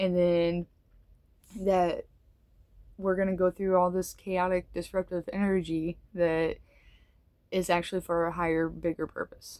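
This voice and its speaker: Mumbling at a fairly slow pace, the speaker keeps a monotone, flat intonation with long, frequent pauses. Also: woman, fairly low pitch for a woman. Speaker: tarot reader. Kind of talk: tarot reading monologue. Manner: casual, hesitant with fillers.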